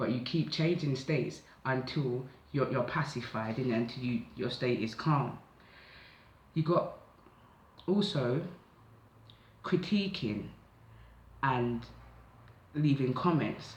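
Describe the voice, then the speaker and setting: In a room with audible echo, a man speaks at a very slow pace with ordinary pitch variation and long, frequent pauses. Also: medium pitch for a man. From south London (Catford). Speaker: tarot/oracle card reader. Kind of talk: psychic oracle reading, casual monologue. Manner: casual, conversational.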